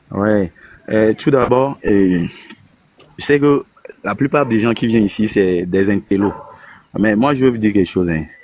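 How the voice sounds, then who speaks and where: The speaker goes at a fairly slow pace with long, frequent pauses and ordinary pitch variation. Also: man, fairly low pitch for a man. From Togo. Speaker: participant in political online discussion. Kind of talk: casual political discussion. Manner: halting, searching for words.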